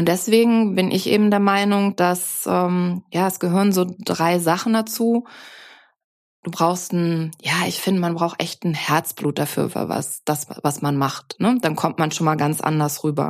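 This is an ordinary speaking voice, a woman's, fairly low in pitch with ordinary pitch variation. She talks at a fairly slow pace. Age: 50s. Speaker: business mentor. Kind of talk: casual chat. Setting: video call.

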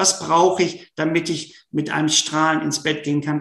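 The man's voice is fairly high-pitched. He keeps a moderate pace. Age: 40s. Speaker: sports psychology professor. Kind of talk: interview.

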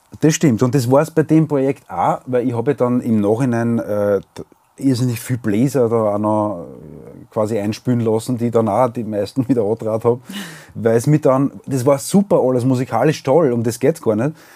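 In a plain, everyday voice of medium pitch, a man talks at a moderate pace. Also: ordinary pitch variation. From Austria, Weinviertel. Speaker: singer-songwriter and podcast host. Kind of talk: casual chat.

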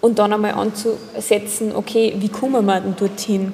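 A woman speaks at a fairly slow pace with a fairly high pitch and monotone, flat intonation. Noticeable background noise runs underneath. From Upper Austria. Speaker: generational consultant for companies and apprentices. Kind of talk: casual interview. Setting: coffee house.

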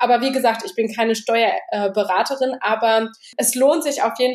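With ordinary pitch variation, a woman's voice sits high. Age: 20s. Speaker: bookkeeping consultant. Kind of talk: casual interview.

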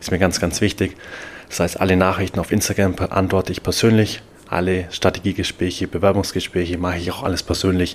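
Very deep and low in pitch, a man talks at a fairly quick pace in a monotone, flat delivery. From Bavaria, Germany. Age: 20s. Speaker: podcast host and NFT coach. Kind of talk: solo podcast monologue.

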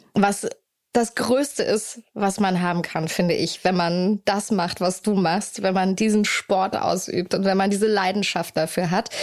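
With an ordinary speaking voice, a woman talks at medium pitch, her intonation fairly even and her loudness very even. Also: fairly slow pace. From Hamburg, northern Germany. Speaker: podcast host. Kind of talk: casual interview chat. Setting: in person, sitting in an armchair in Hamburg.

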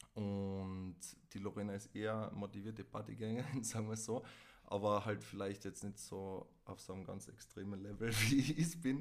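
In a Tyrolean accent, a man speaks at a moderate pace with a fairly low pitch. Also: ordinary pitch variation. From Tyrol, Austria. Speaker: podcast guest, host's ex. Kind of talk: casual chat.

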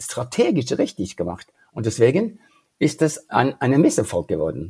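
With vocal fry and a dark, mellow tone, a man with a fairly high pitch speaks at a moderate pace. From Norway. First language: Norwegian (speaking German). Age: 70s. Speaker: leadership career coach. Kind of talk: interview. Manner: halting.

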